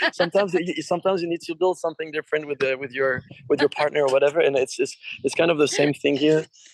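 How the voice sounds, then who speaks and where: In a French accent, a man speaks very fast with fairly even intonation and a fairly high pitch, the sound dry and close with no echo. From France. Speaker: rock musician. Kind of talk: interview. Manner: halting, many fillers.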